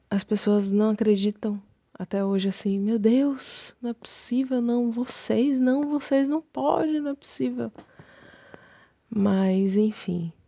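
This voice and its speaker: Very slow and marked by long, frequent pauses, the voice is somewhat breathy with a dark, mellow tone and lively intonation, recorded dry and close with no echo. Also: woman, fairly high pitch for a woman, quiet background. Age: 30s. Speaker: churchgoer sharing marriage testimony. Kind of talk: testimony.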